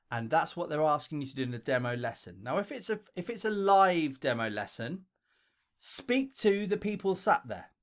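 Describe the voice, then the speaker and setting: With a London accent, this speaker's pitch swings very widely at a moderate pace on a very clean recording with a silent background. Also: man. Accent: broad London. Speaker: English teacher and video creator. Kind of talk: tutorial. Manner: casual, conversational.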